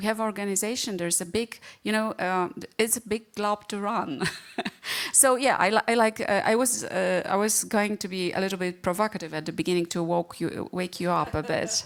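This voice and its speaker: A woman speaks in a Polish accent at a medium pitch. Her pace is moderate and her pitch variation ordinary. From Poland. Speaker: panel moderator. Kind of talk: panel discussion.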